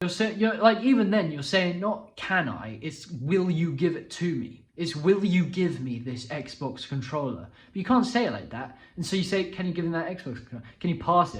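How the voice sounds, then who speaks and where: A man speaks in a high pitch, with hardly any pauses. Audible room echo fills the recording. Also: lively intonation, moderate pace. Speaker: self-improvement youtuber. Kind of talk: casual explainer monologue. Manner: halting, many restarts and fillers.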